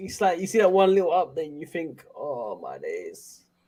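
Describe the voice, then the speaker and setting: The man speaks at a fairly slow pace. His intonation stays fairly even. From London. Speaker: football YouTuber. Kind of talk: casual chat. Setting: live stream.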